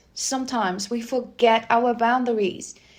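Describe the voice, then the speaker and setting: This woman has a high pitch and a non-native accent. She talks at a fairly slow pace. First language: not English. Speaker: spiritual reader. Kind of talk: casual spiritual talk to viewers. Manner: hesitant, searching for words.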